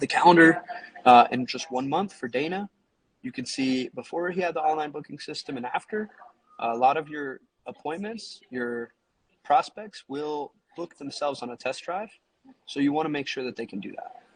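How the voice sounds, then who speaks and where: This man's fairly high voice has lively intonation and a dry, close sound with no echo. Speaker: marketing agency owner. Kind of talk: tutorial. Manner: fast.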